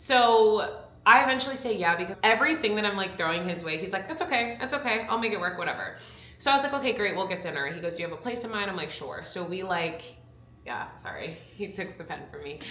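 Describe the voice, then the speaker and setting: With lively intonation and a very fast pace, a woman speaks at medium pitch amid noticeable background noise and audible room echo. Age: 20s. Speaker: YouTuber and former reality TV contestant. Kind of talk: casual chat.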